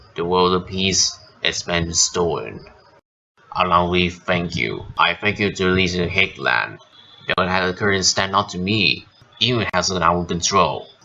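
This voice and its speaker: A man puts on a raspy character voice with a very deep, low pitch and talks at a moderate pace. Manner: commanding, grave.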